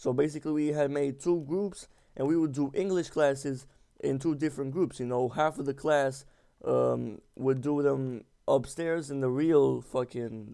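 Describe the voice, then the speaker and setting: A man with a non-native accent has a dark, mellow tone, a fairly high pitch, and fairly even intonation. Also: moderate pace. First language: not English. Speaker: gaming YouTuber. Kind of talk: casual storytelling over gameplay. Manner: halting, many fillers and repeats; slangy, informal.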